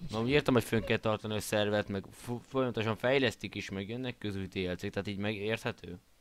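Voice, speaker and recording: The man talks at a very fast pace and a fairly low pitch. His intonation is fairly even. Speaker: gaming video creator. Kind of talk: casual gameplay chat.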